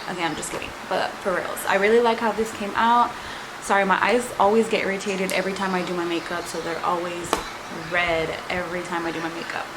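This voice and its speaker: A woman's very fast speech with fairly even intonation, amid noticeable background noise and audible room echo. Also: medium pitch for a woman. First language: Spanish. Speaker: beauty vlogger. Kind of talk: makeup tutorial. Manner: casual, chatty.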